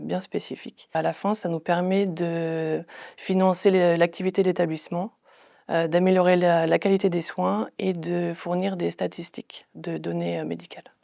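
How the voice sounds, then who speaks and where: A woman's voice comes at a moderate pace on a very clean recording with a silent background. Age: 30s. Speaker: medical information technician, former chef. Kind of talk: interview testimony. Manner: hesitant, frequent fillers.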